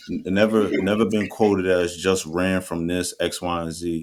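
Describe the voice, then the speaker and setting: The voice has an American accent and comes through on a very clean recording with a silent background. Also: man. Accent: New Jersey accent with some Texas twang. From New Jersey. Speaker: podcast co-host. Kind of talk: casual chat. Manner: animated.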